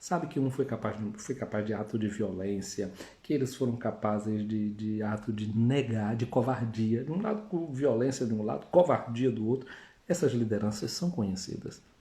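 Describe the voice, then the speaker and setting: With a dark, mellow tone, a man at a medium pitch speaks somewhat breathily at a moderate pace. His pitch variation is ordinary, and room echo can be heard. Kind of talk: sermon. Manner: conversational.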